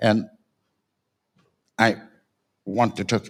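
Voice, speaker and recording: A man's fairly slow speech in a French accent, with vocal fry. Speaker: panel speaker on design. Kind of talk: panel talk. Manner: halting.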